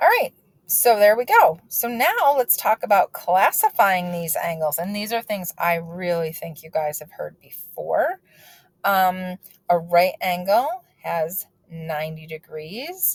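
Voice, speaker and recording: A woman speaks at a fairly slow pace in a somewhat breathy voice. Her loudness swings a lot, and the sound is dry and close with no echo. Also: medium pitch for a woman, ordinary pitch variation. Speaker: math teacher. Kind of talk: lecture. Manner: casual.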